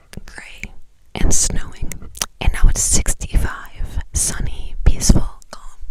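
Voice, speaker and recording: Whispering at a fairly slow pace, a woman speaks over noticeable background noise. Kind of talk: ASMR whisper ramble. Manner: whispered.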